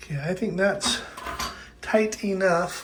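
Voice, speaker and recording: Noticeable background noise runs through the clip. The speaker talks at a very slow pace. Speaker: maintenance worker making how-to videos. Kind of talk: tutorial. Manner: casual, halting with fillers.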